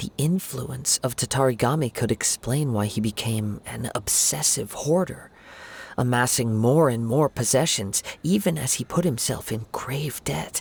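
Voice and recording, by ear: A put-on character voice with vocal fry and a husky, rough edge. It moves at a fairly slow pace with ordinary pitch variation. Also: man, medium pitch for a man.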